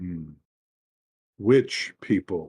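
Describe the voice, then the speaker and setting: A raspy put-on character voice from a man, very deep and low in pitch, with a dry, close sound and no echo. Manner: mysterious.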